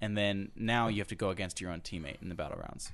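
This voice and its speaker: A man's fairly low voice at a fairly quick pace, an unremarkable speaking voice. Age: 20s. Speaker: guest, former singing competition contestant. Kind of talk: casual interview.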